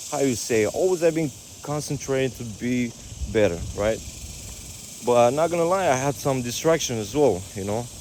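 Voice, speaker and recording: In a Romanian accent, a man with a medium-pitched voice and lively intonation speaks with long, frequent pauses. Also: moderate pace. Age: 30s. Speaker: fitness coach. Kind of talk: casual vlog monologue. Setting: outdoors on a walk. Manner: halting.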